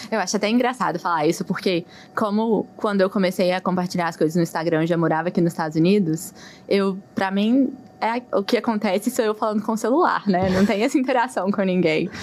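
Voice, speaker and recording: Speaking with a Minas Gerais accent, a woman talks at a fairly quick pace. Her pitch is medium with ordinary variation. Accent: mineiro Brazilian Portuguese. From Brazil, Minas Gerais (Belo Horizonte). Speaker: physician. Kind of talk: interview.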